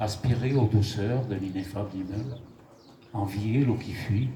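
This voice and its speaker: At a very slow pace, a man speaks in a fairly low pitch with fairly even intonation. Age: 80s+. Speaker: amateur poet. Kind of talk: poetry reading. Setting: live venue with microphone.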